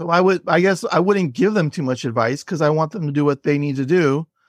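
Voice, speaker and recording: A man speaks at a moderate pace in a plain, everyday voice, fairly high-pitched with lively intonation. The sound is dry and close with no echo, over a quiet background. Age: 50s. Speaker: author and comedian. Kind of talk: interview.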